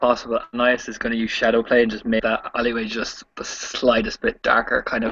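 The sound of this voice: This is an unforced reading voice. It stays unforced throughout.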